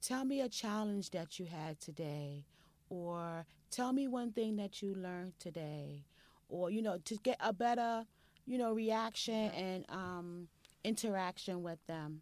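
Fairly slow and medium in pitch, a woman talks in an unremarkable speaking voice, with ordinary pitch variation. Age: 40s. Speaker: mother and lifestyle website owner. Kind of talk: casual interview conversation.

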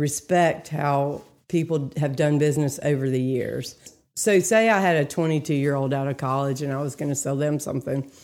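A woman with an American accent talks at a fairly quick pace in a very deep, low pitch and a dark, mellow tone. The recording is very clean, with a silent background. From North Carolina, Greensboro. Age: 30s. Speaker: real estate agent. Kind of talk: casual chat.

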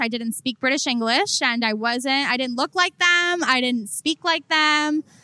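Raised and projected, a woman's high-pitched voice has a bright, sharp tone, ordinary pitch variation and a moderate pace, in a dry, close sound with no echo. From South Florida (Coral Springs, near Miami). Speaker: entertainment and fashion journalist. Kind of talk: casual interview. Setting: live podcast recording with audience.

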